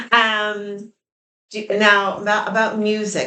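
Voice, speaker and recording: A woman's medium-pitched voice at a very slow pace. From New York. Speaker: interviewer / channel co-host. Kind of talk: casual interview on a porch.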